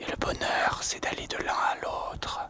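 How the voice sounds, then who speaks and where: Whispering at a very slow pace, a man speaks over noticeable background noise. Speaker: nature and outdoors vlogger. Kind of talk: casual talk to camera, musing philosophically. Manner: whispered, soft-spoken.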